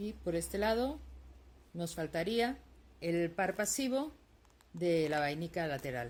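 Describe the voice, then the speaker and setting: Very slowly and with long, frequent pauses, a woman speaks at a fairly low pitch that swings very widely. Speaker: lace-making teacher. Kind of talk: tutorial. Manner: soft-spoken, tends to speak quietly; halting, many fillers.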